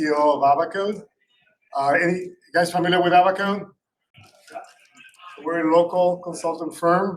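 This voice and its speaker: A man with a Puerto Rican accent, high-pitched, at a moderate pace, with fairly even intonation and long, frequent pauses. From Puerto Rico. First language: Spanish. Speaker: cybersecurity company founder. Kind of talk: panel discussion. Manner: halting with many fillers.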